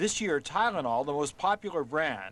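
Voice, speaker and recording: Very wide pitch swings mark this man's speech, delivered at a moderate pace. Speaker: television science correspondent. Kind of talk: news report voiceover.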